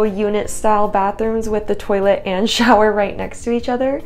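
A woman's voice at a moderate pace, with fairly even intonation and light background noise. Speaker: travel vlogger. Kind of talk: casual vlog chat. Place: home room. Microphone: lapel.

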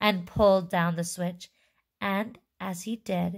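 Against a quiet background, the speaker does plain reading aloud with fairly even intonation.

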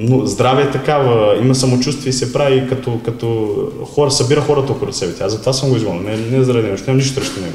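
A man with a Serbian accent at a very fast pace, medium pitch and ordinary pitch variation, with audible room echo. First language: Serbian (speaking Bulgarian). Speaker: former footballer, club marketing specialist; interview guest. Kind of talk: interview. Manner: halting. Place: office.

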